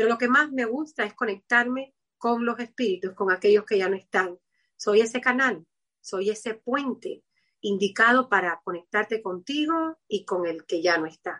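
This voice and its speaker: A woman's fairly high voice with a bright, sharp tone, lively intonation and a moderate pace. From Cuba, Havana. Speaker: medium. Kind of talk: interview.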